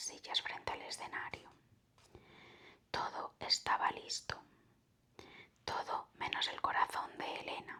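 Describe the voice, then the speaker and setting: Someone whispers in a calm tone at a fairly slow pace, with long, frequent pauses and noticeable background noise. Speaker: ASMR storyteller. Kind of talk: ASMR whispered story reading. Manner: whispered, soft, calm.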